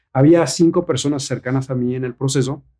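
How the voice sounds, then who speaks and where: Very fast in pace, a man with a fairly high pitch and a dark, mellow, somewhat breathy tone speaks with fairly even intonation. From Mexico. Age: 40s. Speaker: actor and model. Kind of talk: casual chat.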